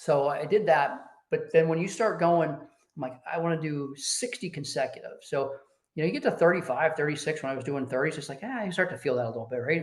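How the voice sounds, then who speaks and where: With an ordinary speaking voice, a man talks at a fairly quick pace, his pitch fairly high and its variation ordinary. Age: 60s. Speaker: business executive, Air Force veteran. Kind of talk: casual interview. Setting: podcast.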